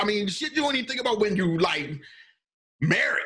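Very wide swings in pitch run through this man's speech. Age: 30s. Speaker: podcast host. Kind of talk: casual chat.

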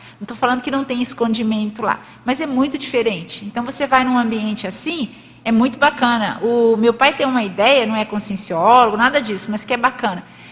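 An unremarkable speaking voice from a woman, pitched fairly high, moderately paced, and with ordinary pitch variation. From Brazil, Minas Gerais. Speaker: lecturer presenting a paper. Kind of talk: lecture with group discussion. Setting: hall with live audience and online stream.

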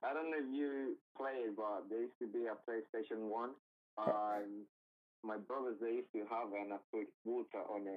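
The speaker talks at a moderate pace with a Colombian accent. Pitch variation is ordinary. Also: man, medium pitch for a man. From Cali, Colombia. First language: Spanish. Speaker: guest. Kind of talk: casual interview chat. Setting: phone call.

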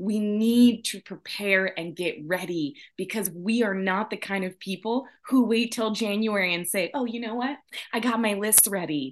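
An animated woman at a medium pitch speaks at a moderate pace with ordinary pitch variation against a quiet background. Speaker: podcast host. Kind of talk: casual chat.

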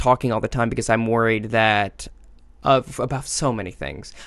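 With a plain, everyday voice, a man speaks at a moderate pace using fairly even intonation. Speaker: podcast host and comedian. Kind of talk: casual interview chat.

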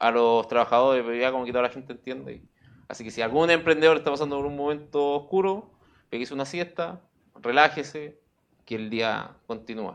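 Speaking with a Chilean accent, a man moves at a fairly quick pace with a medium pitch and ordinary pitch variation. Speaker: recycling entrepreneur. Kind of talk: casual interview chat.

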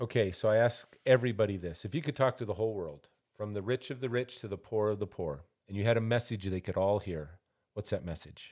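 Speaking at a very fast pace, a man uses a fairly low pitch and ordinary pitch variation with an American accent. The recording is very clean, with a silent background. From Montana. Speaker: podcast host. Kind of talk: interview. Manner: loud.

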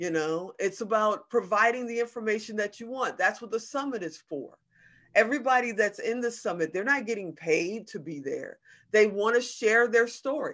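A woman speaks in an American accent at a fairly high pitch, with a normal speaking voice. Her intonation is lively and her pace moderate. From Chicago South Side. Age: 50s. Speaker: TV producer and entrepreneur. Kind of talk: interview.

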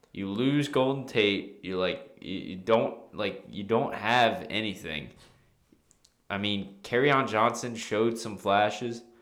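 A man talks at a very slow pace with a fairly low pitch and ordinary pitch variation. Audible room echo surrounds his voice. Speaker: sports podcast co-host. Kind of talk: casual chat. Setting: studio.

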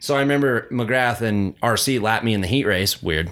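A man with a mid-range voice and ordinary pitch movement is captured in a very clean recording against a silent background. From Carson City, Nevada. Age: 30s. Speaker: retired motocross rider. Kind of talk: casual chat.

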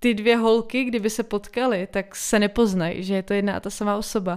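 Very clean and recorded against a silent background, an unremarkable speaking voice comes from a woman at medium pitch with fairly even intonation. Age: 20s. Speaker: solo podcaster. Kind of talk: casual monologue. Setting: home.

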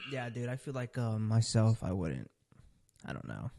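This man has a dark, mellow tone at medium pitch. His pitch varies in an ordinary way. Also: quiet background. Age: 20s. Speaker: podcast host. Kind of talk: casual chat.

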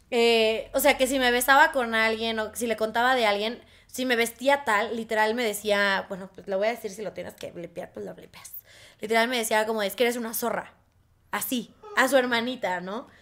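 Recorded very cleanly with a silent background, a woman speaks with a Mexican accent, a fairly high pitch and fairly even intonation. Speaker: podcast co-host. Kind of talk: casual chat. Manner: fast.

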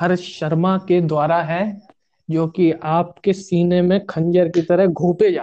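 The tone is dark and mellow. Intonation stays flat and monotone. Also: man, high pitch for a man. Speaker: student podcast host. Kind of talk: casual chat.

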